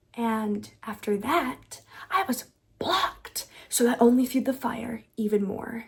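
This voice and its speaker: A woman speaks softly at a fairly slow pace. Her fairly high voice has ordinary pitch variation. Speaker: lifestyle and self-help youtuber. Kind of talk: vlog-style advice monologue. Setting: at home at night. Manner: soft, quiet delivery.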